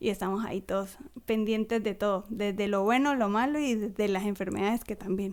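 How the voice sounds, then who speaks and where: A woman talks at a fairly quick pace with a medium pitch. Her intonation is fairly even and her loudness very even. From Colombia, Ocaña. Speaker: schoolteacher. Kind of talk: casual chat.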